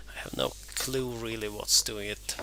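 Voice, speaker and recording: Noticeable background noise sits behind a man with a non-native accent who speaks at a fairly slow pace in a very deep, low pitch. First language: not English. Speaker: DIY car repair vlogger. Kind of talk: voiceover narration of repair video. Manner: hesitant, many fillers and repeats.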